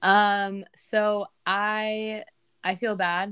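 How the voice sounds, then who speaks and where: A woman's bright, sharp tone. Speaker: podcast host. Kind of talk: casual chat. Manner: monotone.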